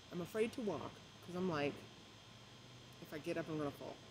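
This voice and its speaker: A woman with a fairly low pitch talks at a very fast pace with ordinary pitch variation over noticeable background noise. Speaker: vlogger. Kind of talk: casual vlog storytelling. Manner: halting with many fillers; trying not to talk loud. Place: garden. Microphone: phone near.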